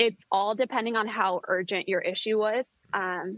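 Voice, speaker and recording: A woman with an American accent speaks in an ordinary speaking voice. Her intonation is fairly even and her pace moderate. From US. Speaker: expat. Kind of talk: interview. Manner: casual with many fillers.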